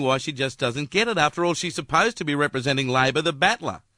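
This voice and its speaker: The speech comes very fast in an Australian accent, with a bright, sharp tone and ordinary pitch variation. The recording is very clean and dry, close-miked with no echo and a silent background. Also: man. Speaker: radio broadcaster. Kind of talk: radio opinion commentary.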